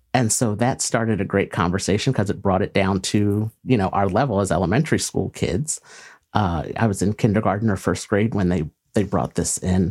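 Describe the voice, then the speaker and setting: A man with a fairly low pitch talks at a fairly quick pace, with ordinary pitch variation. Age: 40s. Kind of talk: interview. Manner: hesitant, many fillers.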